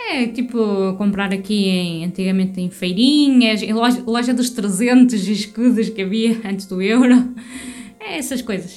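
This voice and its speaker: Delivered at a fairly slow pace with ordinary pitch variation, the speech carries noticeable background noise and audible room echo. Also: woman, fairly high pitch for a woman. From Portugal. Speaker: podcast co-host. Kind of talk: casual chat.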